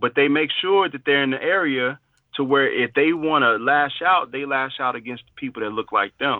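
In a plain, everyday voice, a man with an American accent talks at a moderate pace and fairly high pitch, his loudness shifting in big swings. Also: ordinary pitch variation. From Chicago. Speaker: podcast guest. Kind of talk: casual discussion.

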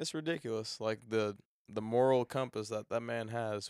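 Over a very clean recording with a silent background, a man talks at a moderate pace. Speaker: podcast host. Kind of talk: casual interview.

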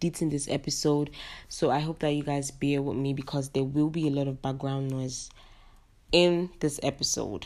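Over a silent background in a very clean recording, the speaker keeps a monotone, flat intonation at a moderate pace. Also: woman. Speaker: podcast host. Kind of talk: casual chat. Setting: background noise in recording.

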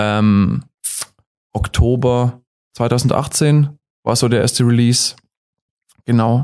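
With a dark, mellow tone and medium pitch, a man talks at a very slow pace with long, frequent pauses and fairly even intonation. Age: 20s. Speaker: singer and guitarist in a band. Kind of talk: casual interview. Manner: hesitant, many fillers.

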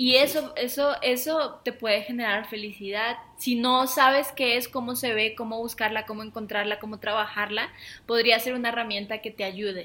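A woman's fairly high, bright, sharp voice with a Mexican accent, moderate pace and fairly even intonation. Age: 30s. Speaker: podcast co-host. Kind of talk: casual chat.

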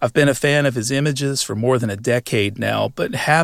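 In an American accent, a man speaks at a moderate pace with a normal speaking voice, medium pitch and ordinary pitch variation, on a very clean recording with a silent background. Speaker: podcast host. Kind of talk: scripted narration; interview.

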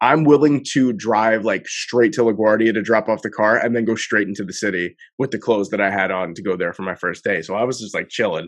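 A normal speaking voice from a man, fairly low in pitch, fairly quick with hardly any pauses, ordinary pitch variation, and a quiet background. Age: 20s. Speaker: podcast host. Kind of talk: casual chat.

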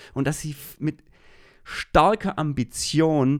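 A man talks in an animated tone. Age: 40s. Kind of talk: devotional monologue.

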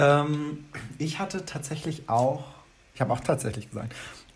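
Somewhat breathy, a man speaks with audible room echo around him. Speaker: podcast co-host. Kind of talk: casual chat. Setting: video call.

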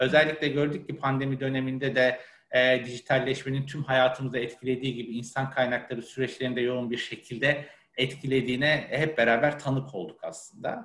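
A man's medium-pitched voice stays monotone and flat as he talks at a fairly quick pace. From Ankara, Turkey. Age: 30s. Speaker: HR manager. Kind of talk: interview. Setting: webinar video call.

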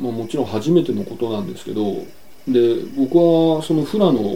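A man keeps a moderate pace, his intonation lively throughout. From Yokohama, Japan. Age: 40s. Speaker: painter and farmer. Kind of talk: interview.

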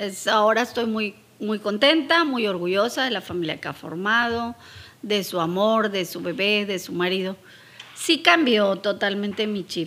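Noticeable background noise surrounds a woman speaking. She talks at a fairly slow pace with lively intonation. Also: medium pitch for a woman. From Mexico. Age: 60s. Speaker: podcast host's mother. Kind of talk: casual interview.

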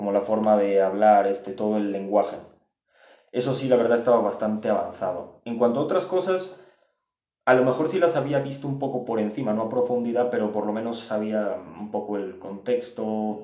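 At a moderate pace, a man speaks in a dark, mellow tone at medium pitch with ordinary pitch variation and audible room echo. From Spain and Mexico. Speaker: podcast guest. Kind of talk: casual chat.

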